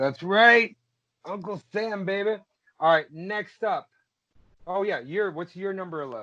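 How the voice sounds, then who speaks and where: A man's high, bright, sharp voice, raised and projected, animated in tone with ordinary pitch variation, at a fairly slow pace with long, frequent pauses, against a quiet background. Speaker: podcast guest. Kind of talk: casual chat.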